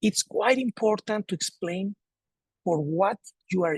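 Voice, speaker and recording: In a dry, close sound with no echo, a man at high pitch speaks at a moderate pace with lively intonation. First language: Spanish. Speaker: sports federation president. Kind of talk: presentation. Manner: halting, repeats words.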